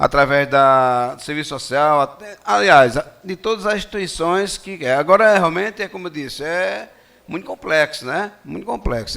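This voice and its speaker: A man's fairly high voice at a moderate pace, with lively intonation and hardly any pauses. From Rio Grande do Norte, Brazil (Natal). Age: 60s. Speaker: retired police officer speaking at a public hearing. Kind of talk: public hearing speech. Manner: halting, with fillers and repetitions.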